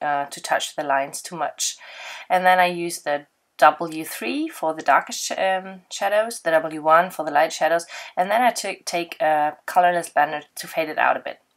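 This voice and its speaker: Speaking at a moderate pace with a German accent, a woman with a fairly low pitch and ordinary pitch variation is heard in a very clean recording against a silent background. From Germany. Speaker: card-making crafter. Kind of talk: tutorial. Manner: halting, with frequent fillers.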